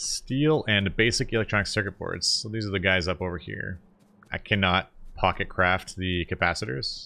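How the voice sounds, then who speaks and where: A man with an American accent speaks at a moderate pace in a bright, sharp tone. The recording is very clean with a silent background. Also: ordinary pitch variation. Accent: North American pronunciation noted by viewers. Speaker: gaming video creator. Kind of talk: gameplay commentary. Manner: casual, conversational.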